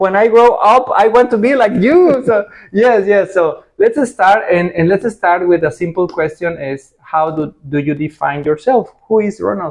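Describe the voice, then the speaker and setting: Lively intonation and a fairly slow pace mark this speech in a Spanish accent. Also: man, high pitch for a man. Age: 40s. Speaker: interviewer, rental business owner. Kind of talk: interview.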